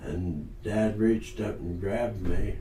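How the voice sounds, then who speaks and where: In a room with audible echo, a man speaks at a fairly low pitch with fairly even intonation. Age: 90s. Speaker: sawmill owner. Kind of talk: interview storytelling. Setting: sit-down interview at a table. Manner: halting, repeats words.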